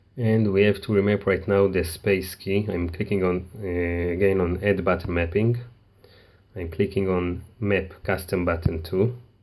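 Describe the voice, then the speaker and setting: With a non-native accent, a man speaks very deep and low in a flat monotone at a fairly slow pace. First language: not English. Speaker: tech tutorial maker. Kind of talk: tutorial. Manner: halting.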